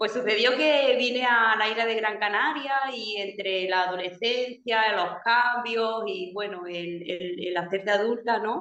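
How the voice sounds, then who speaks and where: With an Andalusian accent, a woman talks at a fairly slow pace and fairly high pitch. She has ordinary pitch variation and hardly any pauses. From Andalusia, Spain. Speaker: alternative therapist. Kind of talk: panel discussion.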